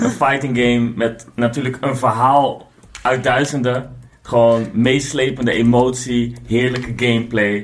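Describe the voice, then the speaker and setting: Over noticeable background noise and audible room echo, a man speaks fairly slowly. His medium-pitched voice stays monotone and flat. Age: 40s. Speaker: board game designer. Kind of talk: casual chat.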